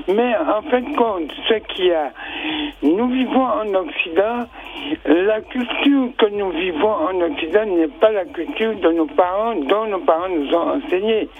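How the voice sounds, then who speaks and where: Against noticeable background noise, a man speaks at a very slow pace with a high pitch and very wide pitch swings. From French Caribbean. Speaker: regular radio caller. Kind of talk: call-in opinion. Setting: phone call.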